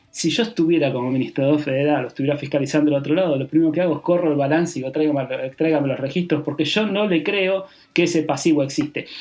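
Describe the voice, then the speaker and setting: A man rattles along at a very fast pace with hardly any pauses, his fairly high pitch showing ordinary variation. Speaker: public accountant, tax advisor. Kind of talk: podcast monologue on tax.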